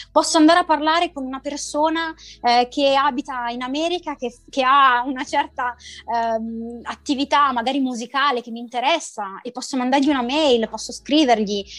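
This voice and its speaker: A high-pitched woman speaks at a moderate pace, her loudness swinging widely while her pitch varies in an ordinary way. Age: 30s. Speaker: entrepreneur in digital consulting. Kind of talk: interview. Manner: halting.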